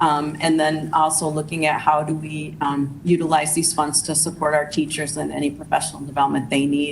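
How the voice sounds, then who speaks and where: A woman's very deep, low voice, monotone and flat, at a fairly quick pace with hardly any pauses, noticeable background noise and audible room echo. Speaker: school district administrator. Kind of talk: budget presentation at board meeting. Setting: school board meeting. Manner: fast; hesitant, many fillers.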